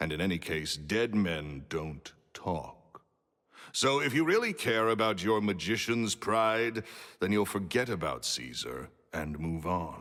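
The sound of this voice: On a very clean recording with a silent background, a man's booming, fairly low voice proceeds at a fairly slow pace. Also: lively intonation.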